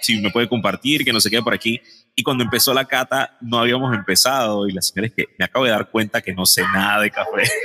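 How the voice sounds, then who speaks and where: Very fast speech from a man at a medium pitch, fairly even intonation and a dry, close sound with no echo, with noticeable background noise. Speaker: podcast co-host. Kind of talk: casual chat. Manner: radio announcer style intro.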